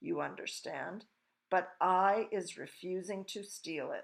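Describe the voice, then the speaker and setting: A woman puts on a character voice that sounds raspy. Her pitch sits in the medium range. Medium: read story. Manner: mangled grammar, gentle.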